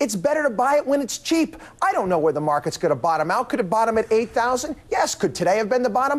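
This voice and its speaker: A man with an American accent talks at a very fast pace, his extremely high pitch making very wide swings. His loudness stays very even against noticeable background noise. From USA. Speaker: financial commentator. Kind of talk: TV news interview.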